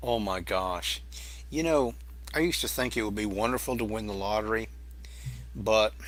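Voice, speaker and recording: With audible room echo, a man with an American accent and fairly low pitch talks at a moderate pace, taking long, frequent pauses and making very wide pitch swings. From Massachusetts, Boston area. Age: 60s. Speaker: YouTube cooking channel creator. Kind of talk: casual interview chat. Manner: halting, with many restarts.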